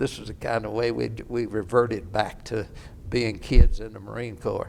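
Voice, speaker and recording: A man with an American accent speaks at a moderate pace. Vocal fry runs through his voice. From Kentucky (Oldham County). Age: 80s+. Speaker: war veteran. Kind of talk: oral history interview.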